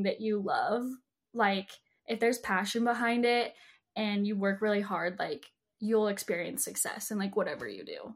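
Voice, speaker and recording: With an American accent, a woman talks at a moderate pace in a fairly high, somewhat breathy voice. Her pitch varies in an ordinary way, and the recording is very clean with a silent background. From Utah. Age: 20s. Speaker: social media influencer. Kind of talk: casual interview chat.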